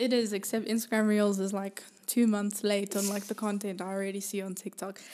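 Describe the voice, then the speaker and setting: At a fairly quick pace, a woman speaks with a dark, mellow tone at medium pitch. Her intonation is monotone and flat. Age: 20s. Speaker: singer-songwriter and producer. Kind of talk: casual chat.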